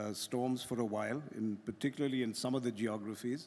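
At a moderate pace, a man talks with an Indian accent. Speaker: business executive; panelist. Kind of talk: panel discussion. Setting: stage with audience. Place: stage. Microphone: podium.

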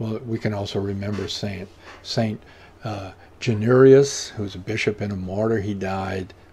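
A man speaks at a moderate pace with a fairly low, somewhat breathy voice and fairly even intonation. Light background noise can be heard. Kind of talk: prayer service leading. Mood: calm, devout. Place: home room. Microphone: webcam.

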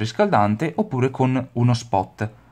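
A man's medium-pitched voice, dark and mellow in tone with ordinary pitch variation, in a very clean recording against a silent background. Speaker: pet care YouTuber. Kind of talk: tutorial. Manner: casual, somewhat halting.

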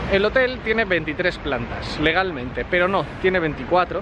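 Noticeable background noise runs under a man's high-pitched voice. His intonation is lively, and the sound is dry with no echo. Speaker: motorcycle travel vlogger. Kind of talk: casual vlog chat. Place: street. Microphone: lapel.

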